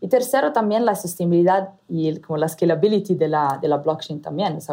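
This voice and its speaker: With an Italian accent, a woman speaks at a moderate pace in a dark, mellow tone, her pitch fairly low and her intonation lively. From Italy. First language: Italian (speaking Spanish). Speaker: startup founder and CEO. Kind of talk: interview. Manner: halting, many fillers.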